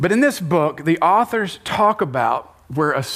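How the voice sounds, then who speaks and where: With an American accent, a man speaks at a moderate pace with lively intonation amid noticeable background noise. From United States. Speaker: church leader leading panel. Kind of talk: panel discussion in church. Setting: stage with live audience. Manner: animated.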